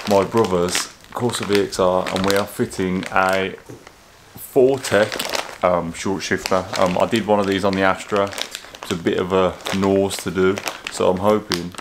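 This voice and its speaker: Against noticeable background noise, a man with a very deep, low voice speaks fairly slowly in a flat monotone. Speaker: car modding vlogger. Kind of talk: casual vlog chat. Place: home room. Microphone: phone near.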